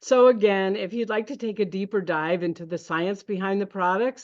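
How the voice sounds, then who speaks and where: Over a quiet background, a woman with an unremarkable speaking voice talks at medium pitch and a moderate pace with ordinary pitch variation. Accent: American. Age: 60s. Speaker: network marketing presenter. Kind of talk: sales pitch.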